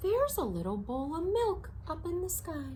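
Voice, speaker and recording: A woman puts on a squeaky character voice at an extremely high pitch, speaking at a moderate pace over noticeable background noise. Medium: read story. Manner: eager, innocent.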